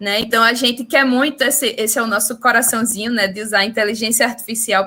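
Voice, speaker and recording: This woman speaks with a strong Recife accent and a fairly high pitch. Her tone is bright and sharp, her intonation fairly even. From Brazil, Recife (Pernambuco). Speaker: startup representative and webinar host. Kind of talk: webinar introduction. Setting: video call / online webinar.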